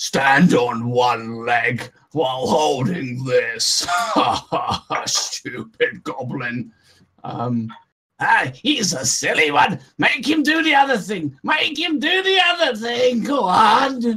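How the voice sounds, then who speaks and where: Shouting in a put-on character voice, a man speaks at a high pitch and a very slow pace. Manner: shouting abuse, jeering.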